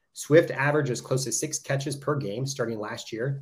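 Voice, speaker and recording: A man at a very fast pace, somewhat breathy, with fairly even intonation. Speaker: youth football club owner. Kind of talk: casual chat.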